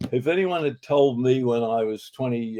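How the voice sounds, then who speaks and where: At a moderate pace, a man with an Australian accent talks in a dark, mellow tone. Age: 80s+. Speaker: advertising executive and author. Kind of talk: interview. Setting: studio.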